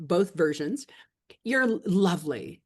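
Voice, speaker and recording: Here a woman speaks in an ordinary speaking voice at a medium pitch. Her pace is moderate and her intonation lively. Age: 60s. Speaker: podcast host. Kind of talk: casual interview chat; scripted intro.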